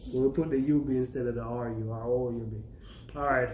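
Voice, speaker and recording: A man is speaking. Room echo can be heard. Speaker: YouTuber teaching his daughter Jamaican patois. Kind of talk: casual tutorial.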